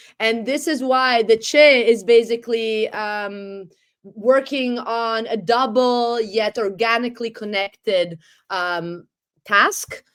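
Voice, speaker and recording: On a very clean recording with a silent background, a woman with an Italian accent speaks very slowly at a fairly high pitch with ordinary pitch variation. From Italy. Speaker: economist and historian. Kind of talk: interview. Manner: articulate, fluent.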